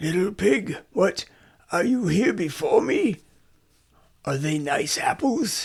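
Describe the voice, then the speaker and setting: A man puts on a character voice that is raspy and high-pitched. He talks at a fairly slow pace with long, frequent pauses. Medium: read story. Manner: sly, wheedling.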